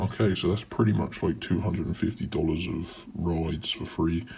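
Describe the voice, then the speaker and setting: With a British accent, a man speaks at a very deep, low pitch and a moderate pace, in a dark, mellow, somewhat breathy tone with ordinary pitch variation. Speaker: YouTuber. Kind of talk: tutorial. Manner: casual.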